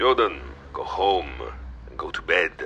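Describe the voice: A man puts on a character voice, low-pitched with a bright, sharp tone, lively intonation and a fairly slow pace.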